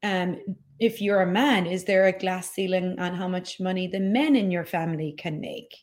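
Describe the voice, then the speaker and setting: With an Irish accent, the speaker keeps a moderate pace and ordinary pitch variation. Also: woman, medium pitch for a woman. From Ireland. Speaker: podcast host and business coach. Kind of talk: solo podcast talk, live stream. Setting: live stream on social media.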